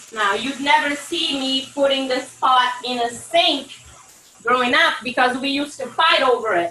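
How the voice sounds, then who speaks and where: A woman's raised, projected voice, high in pitch with ordinary pitch variation, over noticeable background noise. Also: moderate pace. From Brazil, Salvador (Bahia). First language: Portuguese. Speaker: home cook. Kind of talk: cooking demonstration. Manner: casual, instructive.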